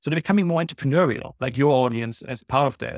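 A man talks very fast, his voice sounding dry and close with no echo. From Germany. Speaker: nonprofit CEO. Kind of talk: casual interview. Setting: video call.

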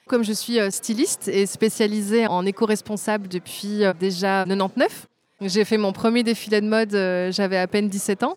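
A woman talks in a plain, everyday voice at a medium pitch. Her pace is fairly slow and her intonation fairly even. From Belgium. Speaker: fashion designer and brand founder. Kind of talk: interview. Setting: trade fair.

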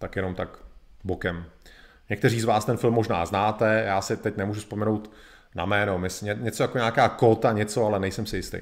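On a very clean recording with a silent background, a man talks fairly quickly in a normal speaking voice. His pitch is fairly low and his intonation fairly even. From Czech Republic. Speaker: live streamer, history presenter. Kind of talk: educational lecture. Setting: live video stream.

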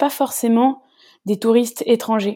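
On a very clean recording with a silent background, a woman with a fairly high pitch and a dark, mellow tone speaks at a moderate pace with fairly even intonation. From France, Rhône-Alpes region. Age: 30s. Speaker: tour guide and storyteller. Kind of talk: casual interview. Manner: talkative.

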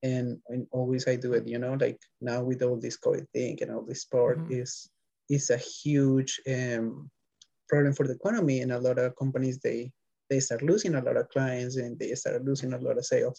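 Somewhat breathy, a man with a Spanish accent speaks at a moderate pace in a medium pitch, with a dark, mellow tone and fairly even intonation. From Colombia, Bogota. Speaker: bike messenger. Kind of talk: interview.

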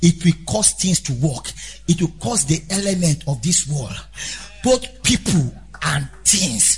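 Against noticeable background noise, a man talks in an animated tone at a fairly slow pace. His pitch is fairly high, with lively intonation. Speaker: preacher. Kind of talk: sermon; sermon in full flow, fiery preaching with call-and-response. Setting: church. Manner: animated, emphatic, repeating key phrases; exhorting the congregation directly, urgent.

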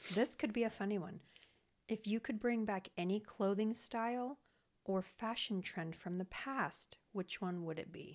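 A soft-spoken woman talks at a medium pitch. Her pace is fairly slow. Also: ordinary pitch variation. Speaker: podcast co-host. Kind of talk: casual chat.

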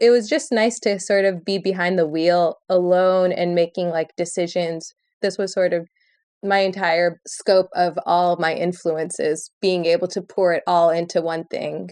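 A woman with an ordinary speaking voice talks at a fairly low pitch and a fairly slow pace. Her intonation is fairly even, and the background is quiet. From Michigan, Lansing. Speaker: musician and DJ. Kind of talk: casual interview chat.

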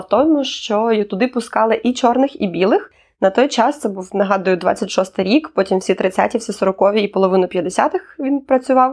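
Her pitch fairly high and her intonation lively, a woman speaks at a moderate pace with hardly any pauses. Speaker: podcast co-host. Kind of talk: casual chat. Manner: reading from notes.

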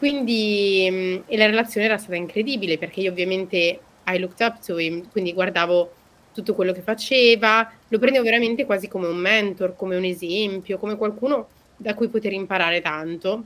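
This woman has an ordinary speaking voice, medium in pitch, with ordinary variation in pitch. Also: fairly quick pace. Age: 20s. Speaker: podcast host. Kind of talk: casual chat, podcast conversation.

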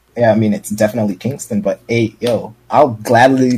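Somewhat breathy, a man with an American accent speaks at a moderate pace in a medium pitch, with fairly even intonation. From New York, Brooklyn. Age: 20s. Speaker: streamer. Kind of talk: casual chat.

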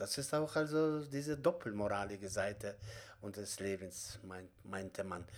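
The intonation is lively. The pace is moderate. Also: man, fairly low pitch for a man. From Kazakhstan. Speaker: theatre director and acting teacher. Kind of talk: interview. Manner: halting.

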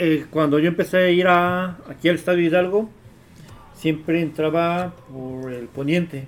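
Fairly even intonation at a fairly slow pace. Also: man, high pitch for a man. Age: young. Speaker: football supporters' group member. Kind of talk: casual chat.

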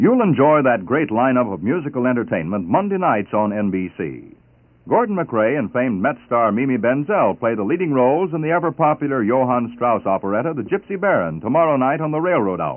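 A man's voice at medium pitch, swinging very widely up and down. He talks fairly quickly, with hardly any pauses. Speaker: radio network announcer. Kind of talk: formal announcing. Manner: formal.

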